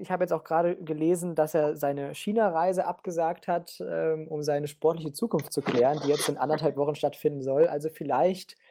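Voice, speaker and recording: An unremarkable speaking voice from a man, fairly high in pitch, with ordinary pitch variation at a moderate pace. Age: 20s. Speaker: political science student and football fan. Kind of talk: casual football discussion.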